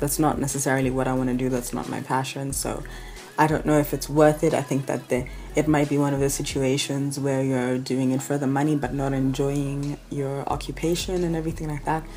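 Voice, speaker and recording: At a fairly quick pace, a woman with a Kenyan accent speaks in a very deep, low pitch and a monotone, flat intonation, with audible room echo and noticeable background noise. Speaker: travel vlogger. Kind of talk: casual vlog talk. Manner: conversational, informal.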